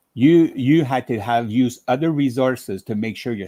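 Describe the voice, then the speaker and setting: In a French Canadian accent, a man talks at a moderate pace with a medium pitch, ordinary pitch variation and a dark, mellow tone, on a very clean recording with a silent background. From French-speaking Ontario, Canada. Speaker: quilting demonstrator. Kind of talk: casual chat.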